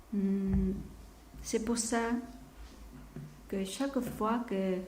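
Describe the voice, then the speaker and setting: A woman with a Korean accent speaks very slowly at a medium pitch, her intonation fairly even, over noticeable background noise and audible room echo. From South Korea. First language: Korean (speaking French). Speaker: missionary preacher. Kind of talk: sermon. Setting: church. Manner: halting; soft-spoken.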